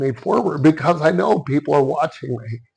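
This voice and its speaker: Lively intonation with vocal fry against a quiet background. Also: man. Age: 60s. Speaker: karate master. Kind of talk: interview.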